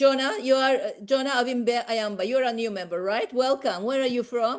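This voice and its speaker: Here a woman speaks at a moderate pace. Her pitch is high, with ordinary variation. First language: not English. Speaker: professor and medical society official. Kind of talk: online meeting moderation. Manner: halting.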